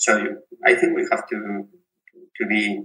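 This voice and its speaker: A man with a Spanish accent. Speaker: physiotherapist and researcher. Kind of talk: interview. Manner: halting, repeats words.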